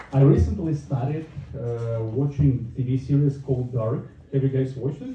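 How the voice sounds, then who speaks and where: Noticeable background noise sits behind a man speaking at a medium pitch and moderate pace with fairly even intonation. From northern Russia. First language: Russian. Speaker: stand-up comedian. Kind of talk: stand-up.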